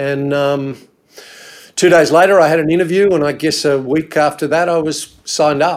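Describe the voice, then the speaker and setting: Speaking with an Australian accent, a man keeps a fairly high pitch, a moderate pace and fairly even intonation. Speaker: insurance adviser. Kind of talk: casual chat. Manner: halting.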